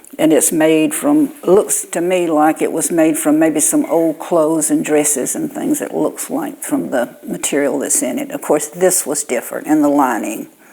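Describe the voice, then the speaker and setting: A woman in a Southern US accent talks at a moderate pace with hardly any pauses, against noticeable background noise. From Alabama, Houston County. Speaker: quilter. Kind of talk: casual interview.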